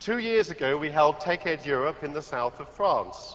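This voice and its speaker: A man with a British accent, fairly high pitch, and a very slow pace. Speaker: tech company executive. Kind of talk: conference keynote opening. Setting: stage with audience.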